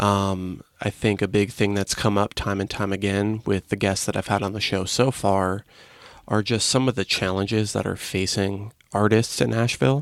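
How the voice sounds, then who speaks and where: A man speaks in an unremarkable speaking voice at a moderate pace. His pitch sits fairly low, with fairly even intonation. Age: 20s. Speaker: podcast host. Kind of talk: casual chat. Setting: studio.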